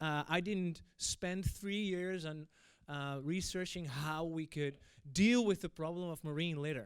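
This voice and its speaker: A man talks at a high pitch and fairly slow pace in a Dutch accent. The recording is very clean, with a silent background. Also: ordinary pitch variation. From Netherlands. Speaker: event moderator. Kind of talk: opening speech. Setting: stage with audience. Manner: hesitant, many fillers.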